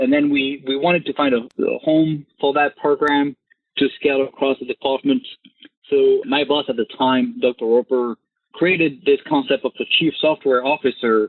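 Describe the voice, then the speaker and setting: In a French accent, a man talks at a moderate pace. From France. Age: 30s. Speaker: government software chief. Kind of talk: interview.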